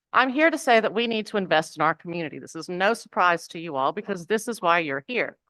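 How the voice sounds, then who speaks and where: A woman talks at a fairly quick pace in a strong Southern US accent, her pitch swinging very widely. Her tone is bright and sharp, and the sound is dry and close with no echo. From US South, Mississippi. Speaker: public commenter at city council meeting. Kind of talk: public comment speech. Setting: city council chamber.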